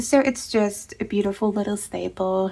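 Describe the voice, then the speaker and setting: A woman with a non-native accent. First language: not English. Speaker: tarot and book content creator. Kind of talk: casual chat. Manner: hesitant, with filler words.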